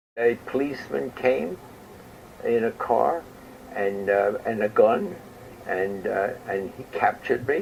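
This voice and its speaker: A man with a New York accent at a fairly slow pace, with long, frequent pauses and noticeable background noise. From New York City, Queens. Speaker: war veteran. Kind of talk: interview.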